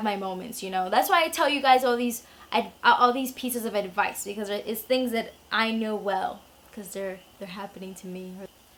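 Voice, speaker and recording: This woman talks at a moderate pace, her fairly high voice rising and falling in an ordinary way. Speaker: YouTuber, beauty vlogger. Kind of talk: casual Q&A vlog.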